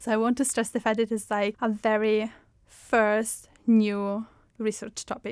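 This woman has an Italian accent. She talks with a fairly high pitch. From Italy. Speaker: user experience researcher. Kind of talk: interview. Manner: frequent filler 'like'.

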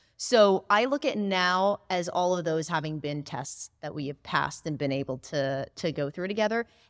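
A woman with an unremarkable speaking voice, fairly low in pitch, lively in intonation, at a moderate pace with hardly any pauses, in a very clean recording with a silent background and a dry, close sound with no echo. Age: 20s. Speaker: chatbot marketing agency co-founder. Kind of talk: interview.

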